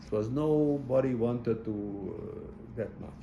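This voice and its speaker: A man's somewhat breathy, dark, mellow voice at a medium pitch, with ordinary pitch variation, a fairly slow pace and audible room echo. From Hungary. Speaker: Holocaust survivor. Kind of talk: testimony interview. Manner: halting, many repetitions.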